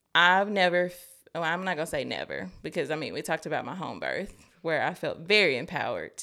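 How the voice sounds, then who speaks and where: A woman talks at a very fast pace with vocal fry. Her pitch sits fairly low. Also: very clean recording, silent background. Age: 20s. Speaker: life coaching client. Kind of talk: casual chat. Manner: animated.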